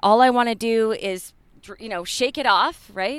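An ordinary speaking voice at a moderate pace with ordinary pitch variation. The recording is very clean, with a silent background. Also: woman. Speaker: yoga studio owner and teacher. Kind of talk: casual interview chat. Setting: outdoors in a park.

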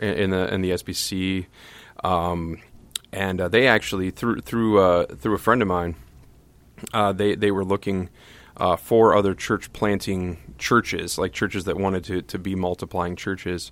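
Flat, monotone intonation marks this man's very deep, low voice. He speaks in an American accent at a moderate pace. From US Midwest (Toledo, Ohio). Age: 30s. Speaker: pastor. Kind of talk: casual chat. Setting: studio. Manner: halting, many repetitions.

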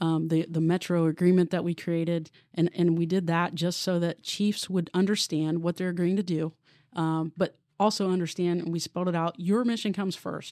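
Heard on a very clean recording with a silent background and a dry, close sound with no echo, a woman with a US Midwestern accent has a dark, mellow tone and monotone, flat intonation. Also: fairly low pitch for a woman, moderate pace. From Columbus, Ohio (US Midwest). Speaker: police deputy chief. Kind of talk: interview conversation.

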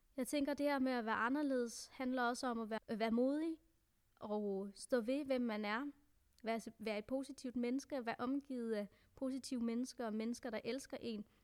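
High pitch and fairly even intonation from a woman. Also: moderate pace. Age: 20s. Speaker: adoptee sharing personal story. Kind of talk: personal testimony.

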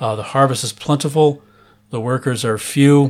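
A man's normal speaking voice with an American accent, medium pitch, fairly even intonation and a moderate pace. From US Midwest, Chicago area. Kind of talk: interview.

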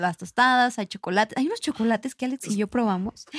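A woman's high pitch comes with lively intonation. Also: dry, close sound with no echo. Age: 20s. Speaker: wine podcast co-host. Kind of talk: casual chat.

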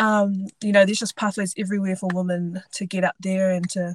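Recorded with a dry, close sound and no echo, a woman speaks at a moderate pace. Her voice is somewhat breathy, at a medium pitch. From New Zealand, Invercargill (far south). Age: 20s. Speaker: rugby sevens player, Olympic athlete. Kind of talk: casual interview.

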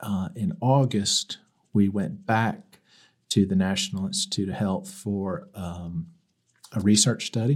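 A man with an American accent speaks at a fairly low pitch, with ordinary pitch variation. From US South, Mobile, Alabama. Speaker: church member with illness. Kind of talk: testimony.

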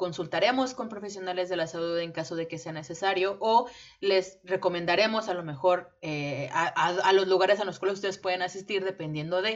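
Fairly quick speech from a woman at a medium pitch, against noticeable background noise. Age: 20s. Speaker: podcast co-host, English teacher. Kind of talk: casual chat.

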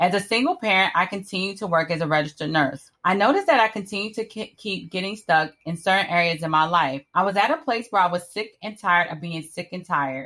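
A woman's bright, sharp, medium-pitched voice at a very fast pace, with ordinary pitch variation and hardly any pauses. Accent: American. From Miami, Florida. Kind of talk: scripted narration.

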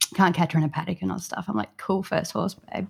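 On a very clean recording with a silent background, a woman talks in an Australian accent. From southeast Queensland, Australia. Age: young. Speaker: psychotherapy student and equine-assisted therapy provider. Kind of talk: casual interview conversation.

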